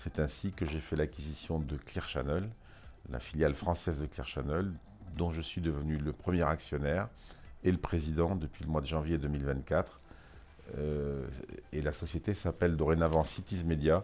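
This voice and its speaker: With long, frequent pauses, a man speaks in a very deep, low pitch with fairly even intonation and vocal fry. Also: moderate pace. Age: 60s. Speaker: business executive. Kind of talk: interview. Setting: office.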